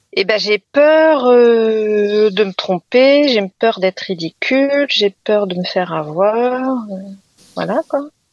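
Very slow in pace, this voice has lively intonation and a dry, close sound with no echo. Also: woman, fairly high pitch for a woman. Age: 40s. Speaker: teacher. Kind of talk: personal testimony.

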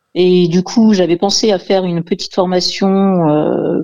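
She has a fairly low pitch. Her tone is dark and mellow. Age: 50s. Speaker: job-seeking radio caller. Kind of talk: call-in consultation.

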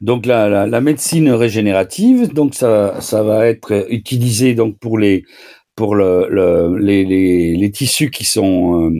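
With a dark, mellow tone, a man speaks at a very slow pace. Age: 70s. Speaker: doctor. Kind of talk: radio Q&A advice. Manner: halting, repetitive.

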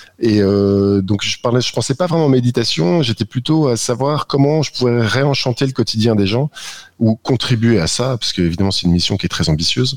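This is a normal speaking voice at a moderate pace, recorded dry and close with no echo. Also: man, medium pitch for a man. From northern France. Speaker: app co-founder. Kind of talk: radio interview.

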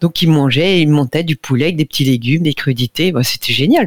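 A woman's very deep, low voice at a moderate pace, with ordinary pitch variation and a dry, close sound with no echo. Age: 60s. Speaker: nutrition radio columnist. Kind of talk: casual chat.

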